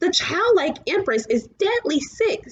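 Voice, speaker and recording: A woman puts on a squeaky character voice with an extremely high pitch and a gentle tone. Her pitch swings very widely at a fairly slow pace. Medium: read story. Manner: gentle, reasoning.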